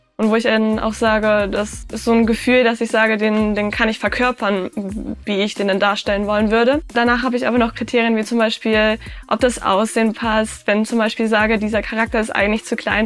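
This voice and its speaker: With music playing in the background, a woman speaks at a fairly quick pace in a fairly high pitch. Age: 20s. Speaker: cosplayer. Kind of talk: interview monologue.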